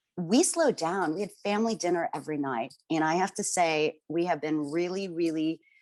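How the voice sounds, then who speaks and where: A woman with an American accent has a normal speaking voice and a fairly low pitch, with ordinary pitch variation. She keeps a moderate pace, and the sound is dry and close with no echo. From New York. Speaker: panel speaker. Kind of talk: panel discussion.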